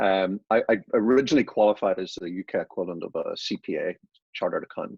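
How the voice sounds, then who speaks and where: A man with an Irish accent at a very fast pace, in a dry, close recording with no echo. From Ireland. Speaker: business consultant and author. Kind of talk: podcast interview.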